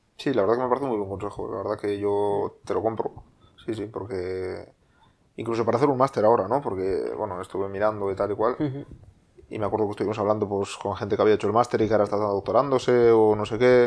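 A man's fairly low voice, very fast, with fairly even intonation. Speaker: podcast host. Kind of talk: casual chat.

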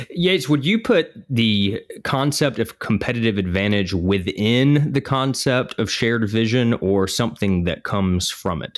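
A man with a Southern US accent, medium pitch, moderate pace, lively intonation and hardly any pauses, on a very clean recording with a silent background. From US South, South Georgia. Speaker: podcast co-host, healthcare business leader. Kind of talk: casual business discussion podcast.

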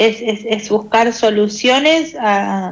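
A woman speaks with a fairly high pitch and fairly even intonation. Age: 30s. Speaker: weekly columnist. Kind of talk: casual chat.

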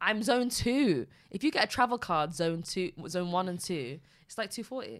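With a northern English accent, a woman speaks at a moderate pace and medium pitch, her voice swinging very widely in pitch on a very clean recording with a silent background. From Manchester, northern England. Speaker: podcast co-host. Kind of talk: casual chat.

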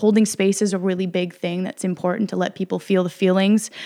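A woman's plain, everyday voice, medium in pitch, at a moderate pace with fairly even intonation. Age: 30s. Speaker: yoga instructor. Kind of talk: testimony.

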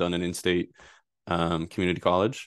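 A man's very deep, low voice with an American accent, at a moderate pace against a quiet background. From Rhode Island, US. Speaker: data privacy attorney. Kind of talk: interview.

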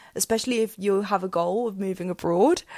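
In an English accent, a woman speaks with fairly even intonation in a dry, close sound with no echo. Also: very clean recording, silent background. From England. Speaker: podcast host. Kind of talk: solo podcast monologue with tips.

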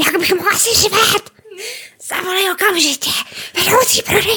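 A woman shouting in a put-on character voice, extremely high in pitch, with fairly even intonation. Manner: shouting, scolding.

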